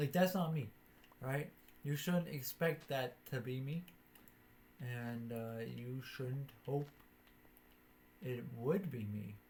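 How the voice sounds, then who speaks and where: Quiet speech at a very slow pace with long, frequent pauses. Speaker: gaming streamer. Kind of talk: casual gameplay commentary. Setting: live stream while recording.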